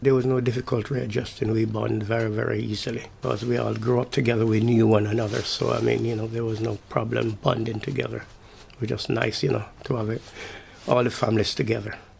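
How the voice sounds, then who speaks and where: Noticeable background noise runs behind a man speaking at a very fast pace. His pitch is medium and his intonation monotone and flat. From Jamaica. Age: 70s. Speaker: interviewee in a heritage oral history project. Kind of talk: oral history interview. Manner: hesitant, many fillers.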